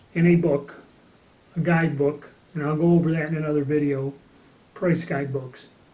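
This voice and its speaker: A man speaks with an American accent at a moderate pace, his intonation fairly even. His tone is dark and mellow, and the room echo is audible. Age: 60s. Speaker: gun collector. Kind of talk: casual talk to camera. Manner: casual, with fillers.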